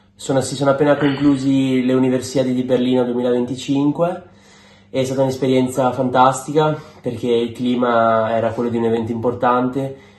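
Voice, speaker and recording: A man talks at a fairly quick pace in a medium pitch with monotone, flat intonation. Noticeable background noise and audible room echo fill the recording. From Venice, Italy. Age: 20s. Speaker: university athlete, swimmer. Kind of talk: interview statement.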